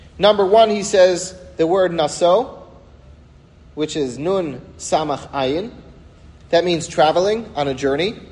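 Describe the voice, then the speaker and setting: Audible room echo follows a man speaking at a high pitch. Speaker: rabbi teaching a weekly class. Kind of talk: religious lecture.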